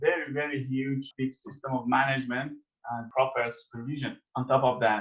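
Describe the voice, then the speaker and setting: Here a man talks at a moderate pace. His voice is fairly high and somewhat breathy. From Iran. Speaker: agricultural researcher. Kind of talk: interview. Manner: halting.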